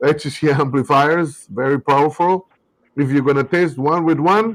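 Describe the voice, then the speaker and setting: A man speaks at a moderate pace with a South American accent, his pitch fairly high and its variation ordinary. His loudness stays very even on a very clean recording with a silent background. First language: Spanish. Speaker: car audio company representative. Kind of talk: live podcast chat.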